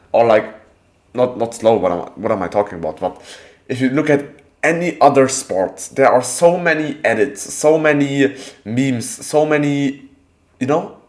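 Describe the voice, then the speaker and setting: Moderately paced speech in a non-native accent, broken by long, frequent pauses. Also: man, medium pitch for a man, lively intonation. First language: not English. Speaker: calisthenics content creator and streamer. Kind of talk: live stream chat. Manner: halting, self-correcting.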